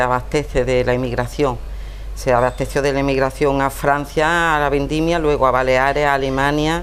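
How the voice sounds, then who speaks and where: Very even loudness at a moderate pace, with audible room echo and music in the background. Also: woman. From Andalusia, Montejícar (Granada). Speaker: writer. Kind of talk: interview.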